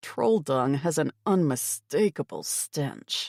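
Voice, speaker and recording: A woman speaks in a put-on character voice, very deep and low in pitch, with growling. Her pace is fairly slow. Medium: read story. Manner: friendly, reassuring.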